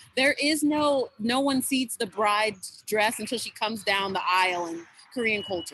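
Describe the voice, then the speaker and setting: Delivered at a moderate pace, the voice has an animated tone and lively intonation. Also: woman, fairly high pitch for a woman. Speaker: student club presenter. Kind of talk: club presentation over video call. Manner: loud.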